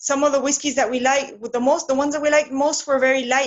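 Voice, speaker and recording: A high-pitched woman's voice with a Spanish accent at a fairly quick pace. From Argentina, Patagonia. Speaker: whisky distiller. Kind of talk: interview. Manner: halting, with repetitions.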